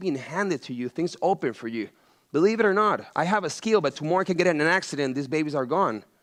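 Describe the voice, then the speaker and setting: Speaking at a very fast pace with a Venezuelan accent, a man sounds animated, with lively intonation. The background is quiet. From Venezuela, Caracas. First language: Spanish. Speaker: chef and entrepreneur. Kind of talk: motivational talk to students.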